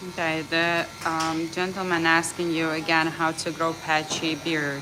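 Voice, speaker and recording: A woman's fairly low, fairly slow voice in a non-native accent, with audible room echo and noticeable background noise. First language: not English. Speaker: stream chat relayer. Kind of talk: casual chat.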